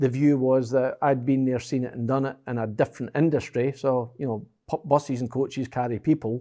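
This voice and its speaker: A man's medium-pitched voice with a dark, mellow tone and an American accent, at a fairly quick pace with hardly any pauses, over a quiet background. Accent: Scottish, slightly affected by years in US. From Scotland. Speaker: business executive. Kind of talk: interview. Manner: animated.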